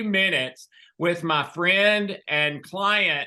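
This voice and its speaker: A man with a Southern US accent projects a raised, high-pitched voice, bright and sharp in tone, with ordinary pitch variation. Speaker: health coach / author. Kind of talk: interview.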